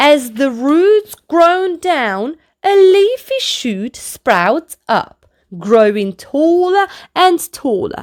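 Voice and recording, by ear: A woman speaks slowly in a slightly mellow tone with big pitch swings, in a very clean recording with a silent background.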